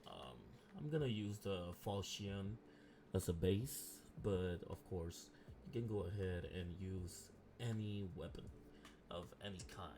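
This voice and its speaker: Soft-spoken and somewhat breathy, a man talks fairly slowly with lively intonation and a dark, mellow tone. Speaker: game modding tutorial creator. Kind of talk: tutorial. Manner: hesitant, many filler ums.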